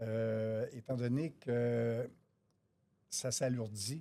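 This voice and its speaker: Speaking in a Quebec accent, a man has a medium pitch, a dark, mellow tone and fairly even intonation. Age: 60s. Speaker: auto body estimator. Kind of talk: interview.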